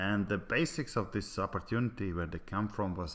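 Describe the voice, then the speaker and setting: A man is talking. His speech carries a non-native accent. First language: Latvian. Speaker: network marketing presenter. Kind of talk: sales pitch. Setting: online presentation. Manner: halting, many fillers.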